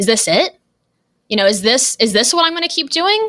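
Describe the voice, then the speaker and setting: With a Californian accent, a woman speaks in a raised, projected voice with a bright, sharp tone and very wide pitch swings. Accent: General American, Californian. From Los Angeles, US West Coast. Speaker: email marketing strategist and copywriter. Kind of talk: podcast interview. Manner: energetic, enthusiastic.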